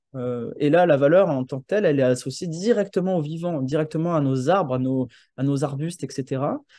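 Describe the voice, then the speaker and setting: A man's fairly high voice with a dark, mellow tone at a fairly quick pace, a dry sound with no echo and a quiet background. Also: ordinary pitch variation. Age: 30s. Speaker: landscape architect and urban planner; presenter. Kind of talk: presentation. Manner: halting, many hesitations. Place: home room. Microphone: video call.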